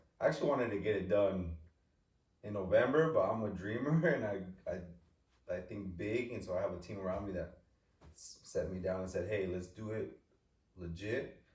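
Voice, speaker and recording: Fairly low in pitch, a man talks at a moderate pace with ordinary pitch variation. Audible room echo can be heard. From California, Eastern Sierras. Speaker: youth soccer club leader. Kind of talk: casual podcast conversation. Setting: studio.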